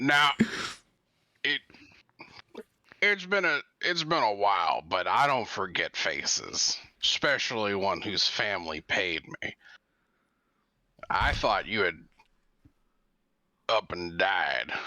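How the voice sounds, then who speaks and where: Raspy and at a medium pitch, a man's put-on character voice goes at a fairly slow pace with long, frequent pauses. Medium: actual play. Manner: blunt, dry.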